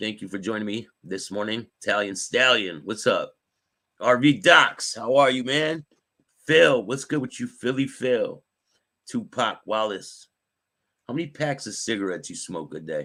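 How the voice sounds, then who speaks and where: This man speaks at a moderate pace with medium pitch, lively intonation and some vocal fry. His tone is bright and sharp. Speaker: talk show host, former gang member in recovery. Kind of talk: casual live-stream chat with viewers.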